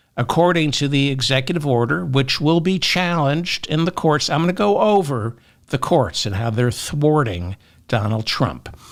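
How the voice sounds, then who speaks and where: On a very clean recording with a silent background, a man speaks with lively intonation and a fairly high pitch. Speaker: political commentator. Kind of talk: political commentary monologue. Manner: slow, careful pacing.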